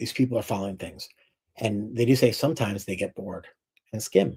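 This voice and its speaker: A man talks in a somewhat breathy voice at a medium pitch. His pitch varies in an ordinary way. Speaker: distiller. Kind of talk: lecture. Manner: fast.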